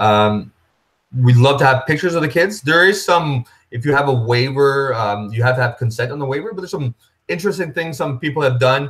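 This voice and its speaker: A man speaks at a fairly quick pace. His pitch is fairly high. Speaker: running association organizer. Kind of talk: webinar presentation. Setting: live video webinar. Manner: fast.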